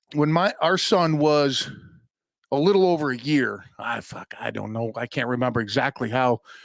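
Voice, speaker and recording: A man with a fairly high pitch speaks in an energetic tone at a fairly slow pace, with ordinary pitch variation. The recording is very clean with a silent background. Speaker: podcast host. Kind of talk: casual unscripted podcast rant. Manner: fired up, energetic.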